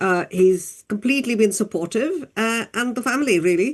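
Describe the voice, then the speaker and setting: A woman with an ordinary speaking voice talks at a moderate pace, her fairly high pitch carrying lively intonation. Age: 60s. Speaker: doctor and diabetes advocate. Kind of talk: interview.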